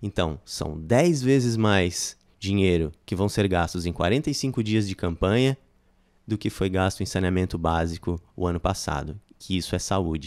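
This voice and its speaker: A man speaks fairly slowly with a very deep, low pitch and ordinary pitch variation. The background is quiet. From Criciúma, Santa Catarina, Brazil; Santa Catarina, Brazil. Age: 40s. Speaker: political candidate, shopkeeper; candidate. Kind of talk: political interview. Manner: halting, many fillers. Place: studio. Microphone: studio mic.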